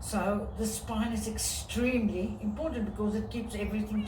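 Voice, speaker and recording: A woman talks at a moderate pace. The recording has noticeable background noise and audible room echo. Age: 60s. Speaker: fitness and mobility coach. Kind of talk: casual talk to camera mixed with reading aloud.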